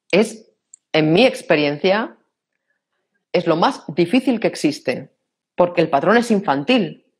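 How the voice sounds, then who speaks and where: In a Castilian accent, the speaker goes at a very slow pace with long, frequent pauses. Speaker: personal development speaker. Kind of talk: interview.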